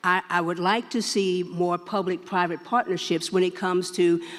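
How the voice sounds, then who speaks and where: The speaker has a Texas accent. The pace is moderate. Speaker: state senator. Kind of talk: panel discussion.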